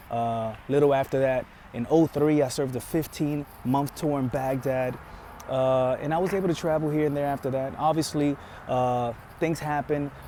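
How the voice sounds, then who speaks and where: A man's fairly high-pitched voice at a moderate pace, fairly even intonation, and noticeable background noise. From Bronx, New York, then Florida from age eleven; Dominican family. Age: 30s. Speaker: army veteran and car salesman. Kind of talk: audition video monologue. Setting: car dealership. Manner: casual, filler-heavy.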